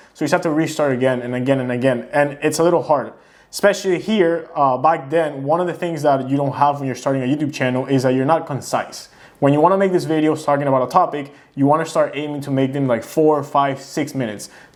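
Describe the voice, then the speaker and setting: A man with a non-native accent, fairly high pitch, a very fast pace and fairly even intonation. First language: not English. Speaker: YouTuber. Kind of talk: casual reaction commentary. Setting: sit-down home video.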